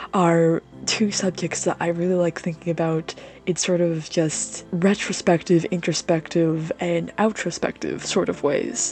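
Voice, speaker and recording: The tone is relaxed. Music plays in the background. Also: woman. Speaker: artist and video creator. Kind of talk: casual rambling voiceover over drawing. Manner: relaxed, frequent filler hesitations.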